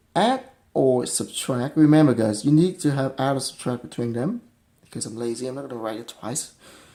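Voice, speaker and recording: A man speaks with a non-native accent. His tone is dark and mellow. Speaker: math tutor. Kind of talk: math lesson explanation. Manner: casual, hesitant.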